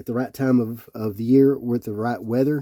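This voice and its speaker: A man with a Tennessee accent, medium pitch, a dark, mellow tone and a fairly quick pace, in a dry, close sound with no echo. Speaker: Bible reviewer. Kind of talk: product review. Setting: indoors, cold room with electric heat. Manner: casual, some hesitations.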